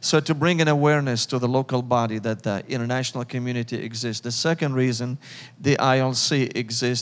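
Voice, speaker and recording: A man's medium-pitched voice in a Syrian accent, very fast, with fairly even intonation. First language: Arabic. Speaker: missions leader. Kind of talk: church interview.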